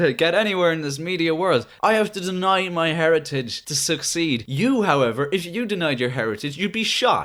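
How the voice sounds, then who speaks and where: A man's high voice with a Cork accent, fairly quick and lively in intonation, with hardly any pauses. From Ireland, Cork. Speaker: podcast co-host, film reviewer. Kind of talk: casual chat.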